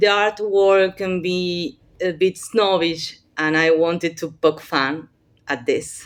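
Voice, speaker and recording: At a very slow pace, a woman with a non-native accent speaks in a fairly low pitch. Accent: non-native English speaker. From Argentina, Buenos Aires. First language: Spanish. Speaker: playwright and university professor. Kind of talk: workshop talk. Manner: halting.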